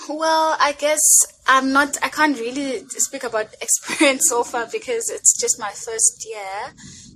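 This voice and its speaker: Projecting a raised voice, a woman speaks at a high pitch. Her pace is fairly slow. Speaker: author. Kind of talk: interview conversation about faith.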